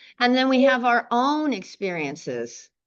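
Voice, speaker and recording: A woman speaks against a quiet background. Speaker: meditation teacher. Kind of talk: dharma talk. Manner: halting; projects to the room.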